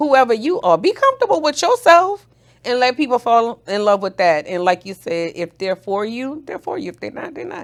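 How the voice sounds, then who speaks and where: In a New Orleans accent, a high-pitched woman talks with an animated tone. Her pitch swings very widely and her loudness shifts a lot. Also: moderate pace. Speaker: business strategist and nurse. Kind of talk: casual interview chat.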